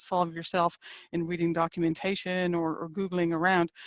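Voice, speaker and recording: A woman with an Irish accent speaks at a very fast pace and fairly low pitch, in a dry, close sound with no echo. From Ireland. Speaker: engineering executive. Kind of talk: webinar presentation.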